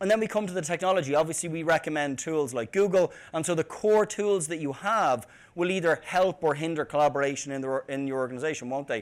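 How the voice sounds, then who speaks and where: Talking at a very fast pace with an Irish accent, a man uses a fairly high pitch and ordinary pitch variation. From Ireland, Dublin. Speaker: tech company CEO, conference speaker. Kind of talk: conference talk. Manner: hesitant, many fillers and repeated words.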